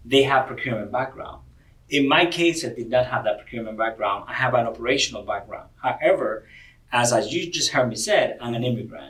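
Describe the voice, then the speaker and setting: A man with a Spanish accent at a fairly quick pace. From Cuba. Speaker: corporate diversity director. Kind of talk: podcast interview. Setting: convention venue.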